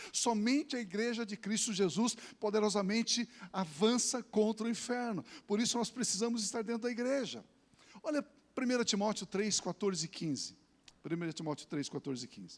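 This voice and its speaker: Pausing long and often, a man speaks at a moderate pace in a high pitch. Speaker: pastor. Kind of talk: sermon.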